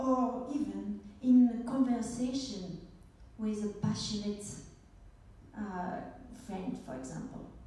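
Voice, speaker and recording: A woman with a French accent speaks very slowly at a fairly high pitch, her pitch varying in an ordinary way and her loudness swinging widely, with long, frequent pauses, audible room echo and noticeable background noise. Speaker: speaker and coach. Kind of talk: conference talk. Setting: stage with audience.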